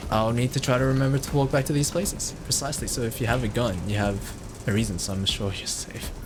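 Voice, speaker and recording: A man talks at a very fast pace over background music, with audible echo in the room. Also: medium pitch for a man, ordinary pitch variation. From Australia. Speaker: video game streamer. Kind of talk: live gameplay commentary. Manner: casual, hesitant with fillers.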